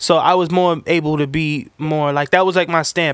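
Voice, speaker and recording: A man with a New York accent talks at a fairly quick pace, his intonation fairly even. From New York City, the Bronx. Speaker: sneaker reseller. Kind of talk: casual chat.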